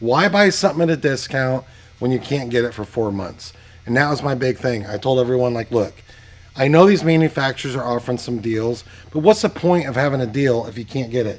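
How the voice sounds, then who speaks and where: A man talks at a fairly quick pace and a medium pitch. His tone is animated and his intonation lively. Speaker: performance car parts shop owner. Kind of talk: sales pitch walkthrough. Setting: shop and warehouse. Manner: fast.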